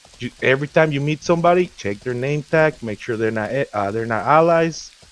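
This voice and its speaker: A man talks with ordinary pitch variation. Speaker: gamer, guild leader. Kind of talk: casual chat. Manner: fast; animated.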